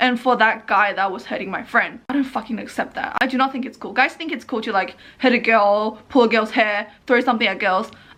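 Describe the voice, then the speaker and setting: A woman speaks in a bright, sharp tone at a fairly high pitch, with ordinary pitch variation. Her pace is fairly quick, with hardly any pauses. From northeast China. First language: Mandarin Chinese. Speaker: vlogger. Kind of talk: personal vlog monologue. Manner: emphatic.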